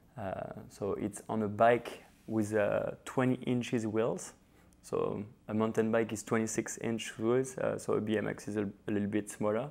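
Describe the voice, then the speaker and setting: A man talks at a moderate pace. His medium-pitched voice stays monotone and flat. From France, Paris. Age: 30s. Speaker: professional BMX rider. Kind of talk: interview monologue. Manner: hesitant, many fillers.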